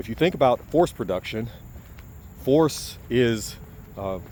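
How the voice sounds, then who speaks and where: A man talks with very wide pitch swings. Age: 40s. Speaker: fitness video creator, engineer by background. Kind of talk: casual explanatory talk to camera. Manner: halting, with self-corrections.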